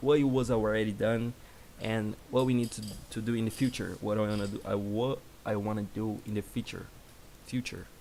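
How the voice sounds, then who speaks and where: A man with a Brazilian Portuguese accent speaks at a fairly quick pace in a monotone, flat intonation. His medium-pitched voice has a dark, mellow tone. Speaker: software developer. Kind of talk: live coding stream. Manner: halting.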